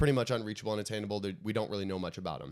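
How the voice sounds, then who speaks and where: A man talks at a medium pitch on a very clean recording with a silent background. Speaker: book podcast co-host. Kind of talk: casual chat. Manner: fast.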